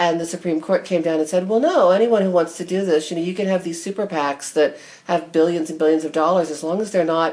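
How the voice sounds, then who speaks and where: With a General American accent, a woman speaks in a plain, everyday voice at a fairly quick pace and a fairly low pitch. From United States. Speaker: podcast host and knitting teacher. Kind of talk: casual interview chat.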